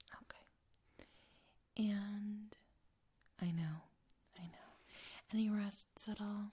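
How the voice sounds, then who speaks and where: A soft-spoken woman at a very slow pace with long, frequent pauses, medium pitch and monotone, flat intonation, a gentle, dark, mellow tone, somewhat breathy, with big swings in loudness. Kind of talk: ASMR roleplay, psychological evaluation interview. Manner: soft-spoken, gentle.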